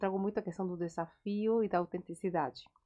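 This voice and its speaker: A woman speaks at a medium pitch. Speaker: psychologist podcast co-host. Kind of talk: casual chat.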